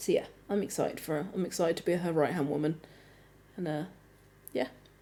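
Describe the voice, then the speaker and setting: A woman with a British accent talks very fast in a fairly low, dark, mellow voice with ordinary pitch variation. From Britain. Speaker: talk show co-host. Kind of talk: casual chat. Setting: live stream.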